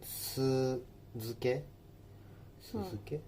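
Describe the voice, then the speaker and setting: Somewhat breathy, the voice comes through. Its tone is dark and mellow. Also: man. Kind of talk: cooking tutorial explanation.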